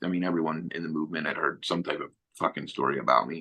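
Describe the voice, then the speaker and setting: A man with a Philadelphia accent speaks in a very deep, low pitch. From Philadelphia, South Philly. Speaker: former neo-Nazi, author. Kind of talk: interview storytelling. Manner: animated; casual.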